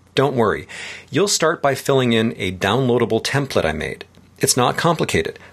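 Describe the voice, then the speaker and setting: Vocal fry colors this man's medium-pitched voice. He talks at a moderate pace, with very wide pitch swings. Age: 50s. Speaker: tech writer and podcast host. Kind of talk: scripted dialogue reading.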